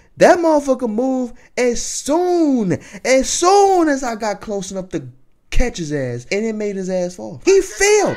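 In an animated tone, a man with an extremely high voice speaks at a fairly slow pace, his pitch swinging very widely. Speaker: gaming YouTuber. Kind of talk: angry rant storytime, casual and profane. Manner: animated, ranting, loud.

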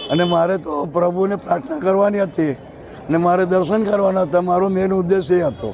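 A man's high voice with ordinary pitch variation, against noticeable background noise. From India, Gujarat (Vadodara). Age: 70s. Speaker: businessman and pilgrim motorcyclist. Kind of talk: street interview.

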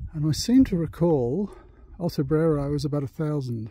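A man talks with ordinary pitch variation in a dry sound with no echo, over light background noise. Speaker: hiking pilgrim vlogger. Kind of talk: casual vlog chat. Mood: cheerful, enjoying the view. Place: open country. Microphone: phone near.

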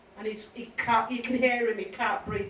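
With audible room echo and light background noise, a woman speaks in a monotone, flat intonation. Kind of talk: public speech. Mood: grave, emotional account. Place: hall. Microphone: camera far.

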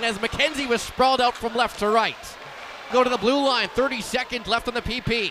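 Over noticeable background noise, a man with an extremely high pitch speaks in a raised, projected voice at a moderate pace with monotone, flat intonation. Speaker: hockey play-by-play announcer. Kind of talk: live hockey play-by-play commentary. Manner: clipped staccato player-name calls.

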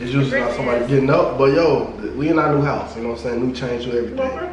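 Over light background noise and audible room echo, a man speaks at a very fast pace. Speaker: family channel co-host. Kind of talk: casual vlog chat. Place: home room. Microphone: camera far.

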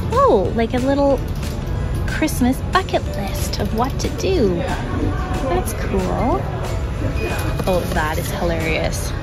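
Over loud background music, a woman talks at a very slow pace in a dry sound with no echo. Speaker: shopping vlogger. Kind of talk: casual vlog chat. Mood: amused, light. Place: shop. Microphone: phone near.

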